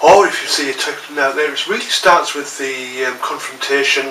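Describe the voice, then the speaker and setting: A man with a Teesside accent, fairly high-pitched, at a moderate pace with fairly even intonation, amid noticeable background noise and audible room echo. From northern England, Teesside. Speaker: martial arts instructor. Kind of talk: vlog talk to camera. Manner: casual, many fillers.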